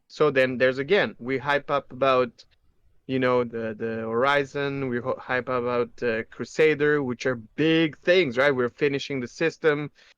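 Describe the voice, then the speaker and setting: A man with a non-native accent talks at a moderate pace with fairly even intonation. The sound is dry and close with no echo, over a quiet background. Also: medium pitch for a man. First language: not English. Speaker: gaming podcast co-host. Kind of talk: casual chat.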